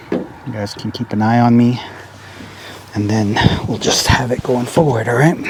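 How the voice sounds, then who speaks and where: Moderate-paced speech from a man amid noticeable background noise. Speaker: hay farmer and vlogger. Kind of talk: casual farm vlog tutorial. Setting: outdoors in a field by a tractor. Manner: loud, talking over machinery.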